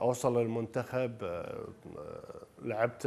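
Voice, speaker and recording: A man's medium-pitched voice with monotone, flat intonation. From Kuwait. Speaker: former basketball player and coach; coach. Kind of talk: personal reminiscence in a TV interview. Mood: calm, reflective. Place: home room. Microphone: lapel.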